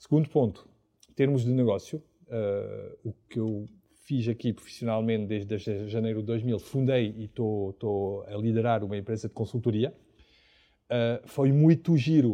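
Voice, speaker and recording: In a quiet background, a man with a dark, mellow tone speaks at medium pitch and a moderate pace, with ordinary pitch variation. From France, Paris. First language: French (speaking Portuguese). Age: 50s. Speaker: entrepreneur and consultant. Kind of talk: casual interview before live audience. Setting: cocktail bar with live audience.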